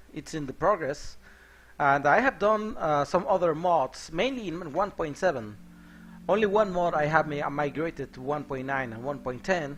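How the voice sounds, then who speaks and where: A man's fairly high voice in a Mexican accent, with lively intonation, big swings in loudness and a moderate pace. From Mexico. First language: Spanish. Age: 30s. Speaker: software developer and game modder streaming. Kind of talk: live coding stream. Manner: hesitant with frequent fillers.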